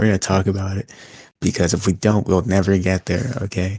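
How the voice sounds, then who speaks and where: Very fast speech from a man, fairly low pitched and somewhat breathy, dark and mellow in tone with fairly even intonation, on a very clean recording with a silent background. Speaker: wrestling podcast co-host. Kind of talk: casual chat.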